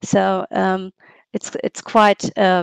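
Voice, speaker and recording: A woman is speaking here. Her pace is very slow. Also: quiet background, dry sound with no echo. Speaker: workshop moderator. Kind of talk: webinar moderation. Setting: video call. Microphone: headset.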